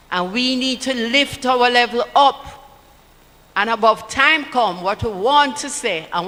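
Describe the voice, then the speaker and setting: A woman with a Jamaican accent and a high pitch talks at a fairly slow pace with lively intonation over noticeable background noise. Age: 80s+. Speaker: political party speaker. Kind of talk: political rally speech.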